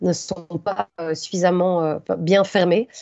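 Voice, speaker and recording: A woman speaks in a fairly low voice with fairly even intonation. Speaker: conference speaker on mining impacts. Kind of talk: conference talk with slides. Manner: fast; hesitant, many fillers.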